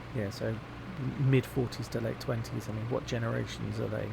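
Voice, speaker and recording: Audible room echo and noticeable background noise surround a man speaking at a moderate pace. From England, Devon. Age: 40s. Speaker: gaming youtuber. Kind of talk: casual gameplay commentary. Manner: rambling, hesitant with many fillers.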